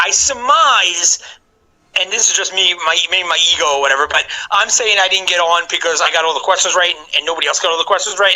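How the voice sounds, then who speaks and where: Speaking at a very fast pace, a man uses a high pitch with ordinary pitch variation. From New York. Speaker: game show contestant. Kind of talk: podcast interview. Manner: halting, many fillers and restarts.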